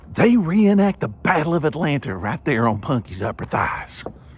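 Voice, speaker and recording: This man has a Southern US accent, vocal fry, a moderate pace and very wide pitch swings. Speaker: storyteller. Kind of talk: humorous ghost story performance.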